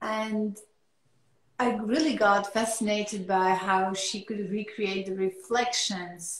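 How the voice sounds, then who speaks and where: A woman with a French accent speaks at a very slow pace. The background is quiet, with audible room echo. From France. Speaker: artist. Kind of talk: interview. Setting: video call. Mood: relaxed, reflective. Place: home room. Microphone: video call.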